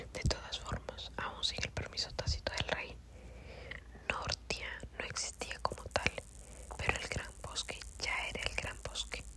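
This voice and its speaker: Someone whispers at a fairly slow pace, with long, frequent pauses, over noticeable background noise. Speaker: audiobook reader. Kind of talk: ASMR whispered book reading. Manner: whispered.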